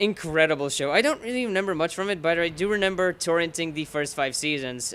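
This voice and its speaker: Bright and sharp in tone, a man with a Bulgarian accent speaks at a fairly high pitch with lively intonation. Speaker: gaming commentator. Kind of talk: live gameplay commentary. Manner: casual, rambling with fillers.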